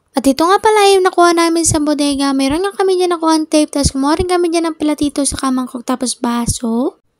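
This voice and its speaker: A woman's extremely high-pitched voice at a very fast pace with hardly any pauses and ordinary pitch variation, in a dry, close sound with no echo. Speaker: vlogger. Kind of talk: daily life vlog narration.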